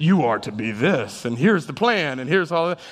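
A man's put-on character voice, fairly high in pitch, over light background noise. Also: fairly quick pace. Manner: grand, commanding.

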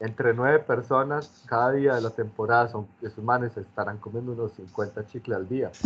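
Speaking at a moderate pace, a man with a plain, everyday voice keeps a medium pitch and fairly even intonation. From Medellín, Colombia. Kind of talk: casual chat.

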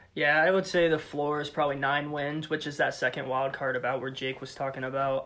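This man speaks with an American accent at a fairly high pitch, in a bright, sharp tone. His intonation is monotone and flat. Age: 20s. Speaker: sports fan guest. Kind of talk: casual sports chat. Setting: in person with host.

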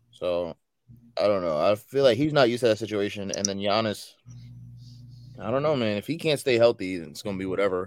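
A man's fairly low voice at a very fast pace, with lively intonation, long and frequent pauses, and music in the background. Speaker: podcast host. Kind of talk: casual sports chat. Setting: live stream.

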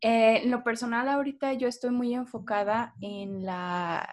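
An unremarkable speaking voice belongs to this woman, pitched fairly high. She talks at a fairly slow pace with ordinary pitch variation. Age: 20s. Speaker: poet, literature graduate. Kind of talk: casual interview. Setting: video call.

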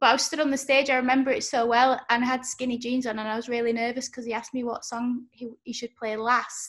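A woman with a Yorkshire accent, high-pitched and monotone, flat, at a very fast pace with hardly any pauses. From Yorkshire, northern England. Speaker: podcast host. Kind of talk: casual interview. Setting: video call.

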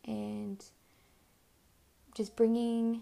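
A woman with a medium pitch speaks in a dark, mellow tone with vocal fry.

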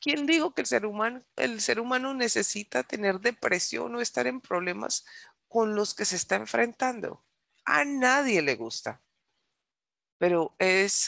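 A woman at medium pitch speaks at a fairly slow pace, animated in tone with very wide pitch swings. The sound is dry and close with no echo, over a quiet background. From United States, Colombian descent. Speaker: preacher. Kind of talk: sermon.

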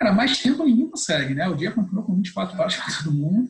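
Speaking at a fairly quick pace, a man moves through very wide pitch swings. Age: 30s. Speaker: business consultant and speaker. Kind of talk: casual interview chat.

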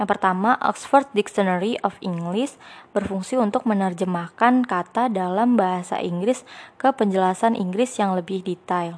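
Against a quiet background, a woman talks at a moderate pace and medium pitch. It is an ordinary speaking voice with ordinary pitch variation. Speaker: student podcaster. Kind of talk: scripted narration.

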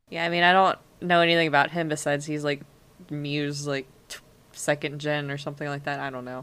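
Speaking at a very fast pace, a woman with a very deep, low pitch talks in an American accent. Her intonation stays monotone and flat. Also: big swings in loudness. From US. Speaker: podcast co-host. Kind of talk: casual chat.

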